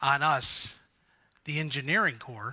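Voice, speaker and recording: A man speaks loudly with a bright, sharp tone. The background is quiet. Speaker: conference speaker. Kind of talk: conference presentation. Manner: slow.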